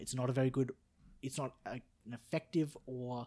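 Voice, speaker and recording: A somewhat breathy man at a fairly slow pace, with ordinary pitch variation, in a very clean recording with a silent background. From Australia. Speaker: podcast guest. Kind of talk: casual chat.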